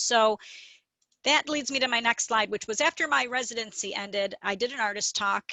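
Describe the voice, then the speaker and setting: A woman's fairly high, bright, sharp voice at a fairly quick pace. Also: ordinary pitch variation, dry, close sound with no echo. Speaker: artist, photographer. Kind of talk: presentation. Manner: normally fast talker.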